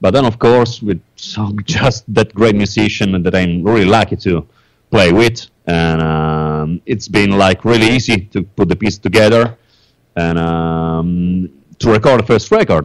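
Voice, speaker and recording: A man with an Italian accent, fairly low in pitch, at a fairly slow pace. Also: ordinary pitch variation. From Italy. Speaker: metal band songwriter. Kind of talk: interview. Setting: Skype call. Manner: halting.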